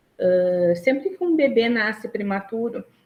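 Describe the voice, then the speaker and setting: A woman speaks here. Her pace is fairly slow. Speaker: social worker. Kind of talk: online lecture. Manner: hesitant, many fillers.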